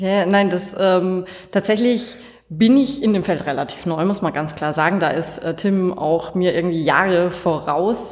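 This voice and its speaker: The speaker has a slight Franconian accent and a fairly slow pace. Audible room echo and noticeable background noise surround the voice. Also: woman, medium pitch for a woman, ordinary pitch variation. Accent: slight Franconian, barely noticeable. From Franconia, Bavaria. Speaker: coworking space member. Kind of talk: casual interview.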